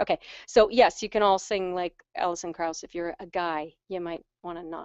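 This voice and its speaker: A woman is speaking. Her pitch is medium. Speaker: vocal coach. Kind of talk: live Q&A webinar. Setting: video call. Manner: fast.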